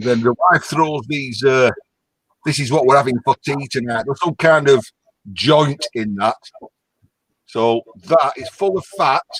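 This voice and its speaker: In a strong Lancashire accent, a man talks at a fairly slow pace with long, frequent pauses and ordinary pitch variation, the sound dry and close with no echo. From northern England, Lancashire. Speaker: caller. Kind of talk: casual chat.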